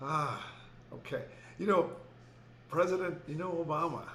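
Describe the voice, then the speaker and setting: Audible room echo accompanies a man with an American accent speaking at a moderate pace. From Houston, Texas. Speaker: educator and author. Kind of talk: interview. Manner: halting, many fillers.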